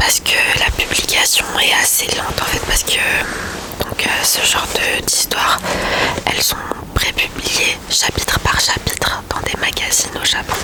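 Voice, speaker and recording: Against noticeable background noise, a whispered voice moves at a fairly slow pace. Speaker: ASMR creator. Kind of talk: ASMR book review talk.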